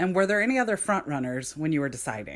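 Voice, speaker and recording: A woman uses a put-on character voice. Her delivery is raspy. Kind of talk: polished, announcer-like.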